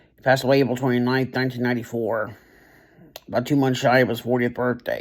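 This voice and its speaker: Talking at a fairly quick pace, a man keeps a medium pitch with monotone, flat intonation. His loudness swings widely. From Kentucky, Louisville. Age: 30s. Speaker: vlogger, artist. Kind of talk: personal reflection vlog. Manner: halting, many fillers.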